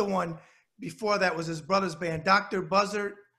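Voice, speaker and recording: Against a quiet background, a man projects a raised, high-pitched voice with a bright, sharp tone at a moderate pace. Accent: New York. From New York. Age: 50s. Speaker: web show host. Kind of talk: interview. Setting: video call. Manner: animated. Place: office. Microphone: video call.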